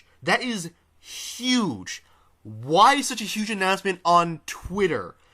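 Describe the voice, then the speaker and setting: A man's high, raised, projected voice, bright and sharp in tone, with lively intonation, very slow pacing and big swings in loudness. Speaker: gaming commentator. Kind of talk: casual reaction commentary. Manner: animated.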